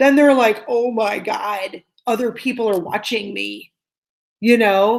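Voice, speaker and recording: A woman talks loudly with ordinary pitch variation. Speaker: tarot reader and online video host. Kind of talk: live-stream discussion.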